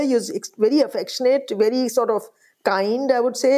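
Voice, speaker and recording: This woman has a high pitch and a dark, mellow tone. She talks at a fairly quick pace with ordinary pitch variation. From India, Allahabad. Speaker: author. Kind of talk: interview.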